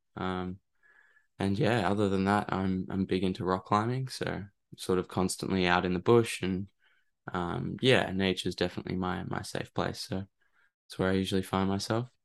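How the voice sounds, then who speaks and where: A man's very deep, low pitch in an Australian accent, at a moderate pace with fairly even intonation and a quiet background. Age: 20s. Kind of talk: interview. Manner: halting, hesitant.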